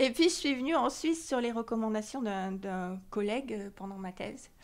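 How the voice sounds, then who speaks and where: At a moderate pace, a woman speaks fairly high with lively intonation and big swings in loudness. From southern France, near Marseille. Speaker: choir member, association president, scientist. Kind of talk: interview.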